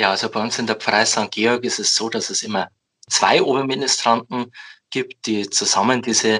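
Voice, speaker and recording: A man's medium-pitched voice, bright and sharp in tone, with monotone, flat intonation and a moderate pace, against a quiet background. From Bavaria, Upper Palatinate (Amberg). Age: 20s. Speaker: head altar server, student. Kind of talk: podcast interview.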